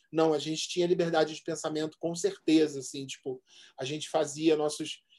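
Here a man has a fairly high pitch and a dark, mellow tone. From Rio de Janeiro, Zona Norte (Benfica). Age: 40s. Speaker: advertising professional and DJ. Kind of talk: casual chat.

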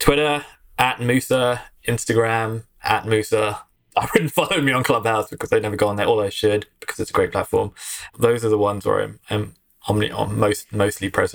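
A man's medium-pitched voice with an English accent, fairly even intonation and a fairly quick pace. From London, England. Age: 30s. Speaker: marketing executive. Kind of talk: casual interview.

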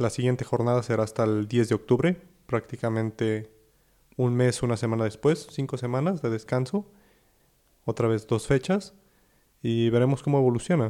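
At a moderate pace and medium pitch, a man with a dark, mellow tone and ordinary pitch variation speaks with long, frequent pauses. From Mexico. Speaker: football podcast co-host. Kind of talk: casual chat.

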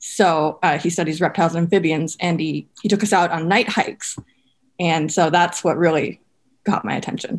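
A woman with an American accent speaks at a moderate pace and ordinary pitch variation. She has a normal speaking voice. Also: fairly low pitch for a woman. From Minnesota. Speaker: biology student. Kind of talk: interview.

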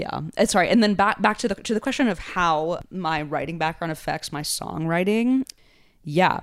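A woman's fairly low voice with lively intonation and a moderate pace, in a very clean recording with a silent background. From Connecticut, US. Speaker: rapper and songwriter. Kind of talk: casual interview chat. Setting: studio.

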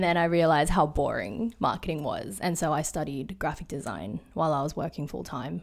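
In a very clean recording with a silent background, a woman with an Australian accent speaks at a moderate pace, using lively intonation and vocal fry. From Sydney, Australia. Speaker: product designer and photographer. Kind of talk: casual interview chat. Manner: halting, many fillers.

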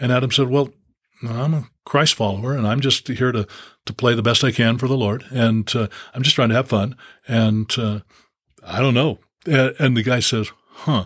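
In a very clean recording with a silent background, a man of medium pitch speaks at a moderate pace with long, frequent pauses. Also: fairly even intonation. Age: 60s. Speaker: former pro basketball player and preacher. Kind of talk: casual chat.

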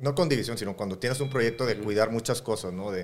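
The man talks at a very fast pace with ordinary pitch variation. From Mexico, Matamoros (Tamaulipas). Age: 40s. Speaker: rock musician, band leader and solo artist. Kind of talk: casual interview chat.

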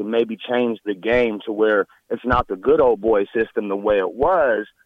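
A man talks at a moderate pace and medium pitch in an ordinary speaking voice. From Nebraska. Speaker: caller. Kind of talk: call-in comment.

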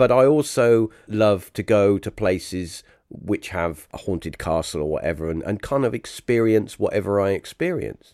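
A plain, everyday voice with lively intonation at a moderate pace and hardly any pauses, in a very clean recording with a silent background. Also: man, fairly low pitch for a man. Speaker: podcast host. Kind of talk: casual interview chat.

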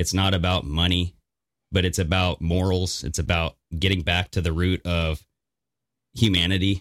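A man with a very deep, low pitch talks at a moderate pace, the sound dry and close with no echo. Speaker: podcast co-host. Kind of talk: casual chat.

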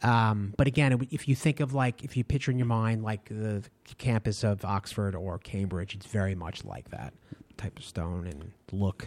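In a normal speaking voice, a man talks at a fairly low pitch with ordinary pitch variation. His pace is moderate, and his loudness swings widely. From Long Island, New York. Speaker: tour guide and historian. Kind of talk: interview.

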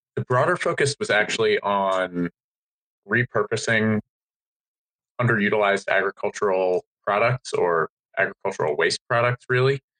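A man with an American accent and a fairly low pitch speaks at a moderate pace with long, frequent pauses, ordinary pitch variation, very even loudness and a bright, sharp tone, the sound dry and close with no echo. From Maryland, US. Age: 20s. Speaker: beverage startup founder. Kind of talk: interview. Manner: hesitant with fillers.

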